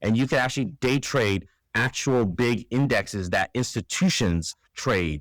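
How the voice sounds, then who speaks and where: A man with an unremarkable speaking voice, medium in pitch, fairly slow and lively in intonation, on a very clean recording with a silent background and a dry, close sound with no echo. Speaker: trading educator. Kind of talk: tutorial.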